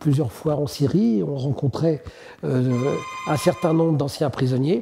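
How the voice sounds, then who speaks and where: A man with a fairly high pitch speaks at a very slow pace with ordinary pitch variation, over noticeable background noise. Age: 70s. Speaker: human rights activist. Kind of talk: testimony. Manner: halting, with frequent hesitations.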